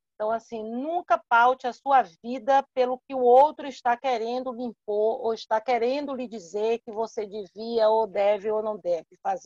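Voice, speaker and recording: A woman uses a normal speaking voice at a fairly high pitch, with ordinary pitch variation and a dry, close sound with no echo. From Salvador, Bahia, Brazil. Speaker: entrepreneur speaker. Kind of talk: live online talk, Q&A answer.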